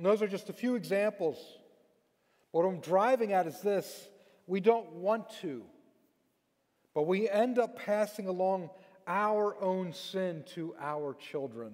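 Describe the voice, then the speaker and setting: A man speaks at a fairly slow pace in a high pitch, with ordinary pitch variation. He leaves long, frequent pauses against a quiet background. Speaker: preacher. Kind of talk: sermon. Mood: earnest, reflective. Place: church. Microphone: headset.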